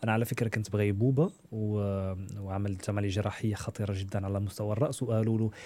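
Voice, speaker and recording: In a very clean recording with a silent background, a man with a fairly low pitch and a dark, mellow tone speaks at a moderate pace. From Morocco. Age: 30s. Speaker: media presenter. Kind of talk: interview, personal story.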